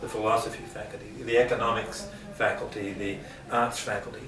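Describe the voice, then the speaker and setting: A man talks at a moderate pace with an Australian accent. Noticeable background noise runs under his voice. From Geelong, Australia. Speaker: university lecturer on leadership. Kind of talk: interview answer.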